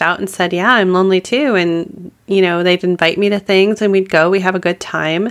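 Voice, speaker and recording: A woman speaks at a moderate pace in a medium pitch, her intonation fairly even. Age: 40s. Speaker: podcast host. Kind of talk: solo podcast monologue. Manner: halting, repeats words.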